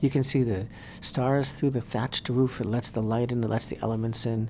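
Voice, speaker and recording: A fairly quick delivery over light background noise. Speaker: radio show host, rabbi. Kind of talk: radio talk show commentary. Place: studio. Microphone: studio mic.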